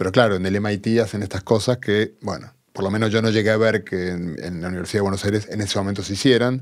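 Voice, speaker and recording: A man speaks at a very fast pace with hardly any pauses. His fairly low voice keeps a fairly even intonation over a quiet background. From Argentina. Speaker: physicist; podcast guest. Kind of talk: interview. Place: studio. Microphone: studio mic.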